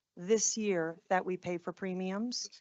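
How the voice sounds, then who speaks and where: A woman with a New Jersey accent at a fairly slow pace. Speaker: school district administrator presenting to board. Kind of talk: board meeting presentation.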